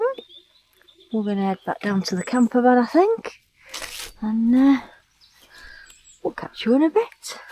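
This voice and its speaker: Pausing long and often, a woman speaks at a fairly slow pace in a high voice with lively intonation. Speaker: travel vlogger. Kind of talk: casual vlog narration. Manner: whispering.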